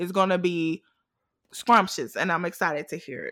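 Very fast and with an American accent, a woman speaks in a bright, sharp tone in a very clean recording with a silent background. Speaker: podcast host. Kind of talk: casual chat.

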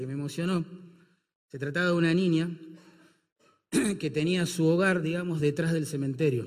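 Amid audible room echo, a man with a fairly high pitch speaks with ordinary pitch variation. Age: 50s. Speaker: pastor. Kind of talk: sermon.

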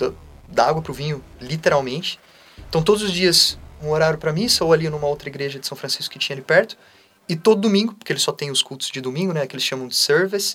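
A man talks very fast, his loudness swinging widely. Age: 20s. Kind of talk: casual interview.

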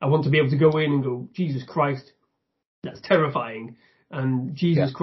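Somewhat breathy and fairly high in pitch, a man with a northern English accent talks at a fairly quick pace with fairly even intonation. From northern England. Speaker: YouTube reviewer. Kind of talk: casual chat.

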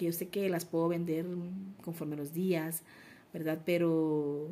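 A woman speaks slowly in a monotone, flat intonation at a fairly low pitch. Her tone is dark and mellow. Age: 40s. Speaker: entrepreneur. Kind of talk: interview.

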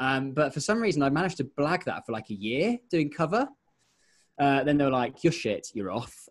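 Recorded very cleanly against a silent background, a man with an English accent talks fairly quickly at a fairly high pitch with lively intonation. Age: 20s. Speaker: radio presenter. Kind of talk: casual chat.

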